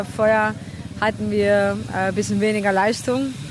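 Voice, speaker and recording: A woman with a Czech accent, very slow pace, audible room echo. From Czech Republic. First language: Czech (speaking German). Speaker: racing driver. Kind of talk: interview. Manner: halting.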